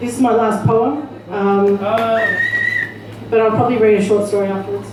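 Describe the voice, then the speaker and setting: Noticeable background noise sits under the recording. The woman's delivery is fairly slow. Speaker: spoken word poet. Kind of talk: poetry reading. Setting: live open mic venue.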